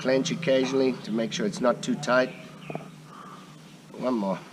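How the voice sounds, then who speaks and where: Against noticeable background noise, a man talks at a moderate pace in a medium pitch. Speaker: muay thai trainer. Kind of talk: tutorial instruction to camera.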